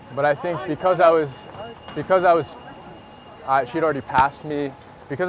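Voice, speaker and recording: Amid noticeable background noise, a man speaks at a very fast pace with a fairly high pitch and ordinary pitch variation. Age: 20s. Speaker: dating coach. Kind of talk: casual chat. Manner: casual, conversational.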